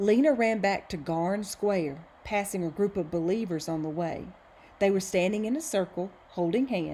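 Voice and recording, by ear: Pitch moves in an ordinary way as the speaker goes on reading aloud in a natural voice.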